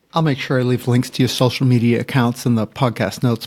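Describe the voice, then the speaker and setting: Over a very clean recording with a silent background, a man talks at a very fast pace with fairly even intonation. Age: old. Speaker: podcast host. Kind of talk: podcast outro.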